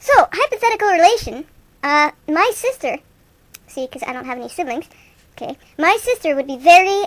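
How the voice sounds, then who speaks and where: A woman's squeaky, put-on character voice, extremely high in pitch, with lively intonation and a fairly quick pace. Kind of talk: improvised comic radio banter. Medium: comedy sketch. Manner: casual, rambling, wisecracking.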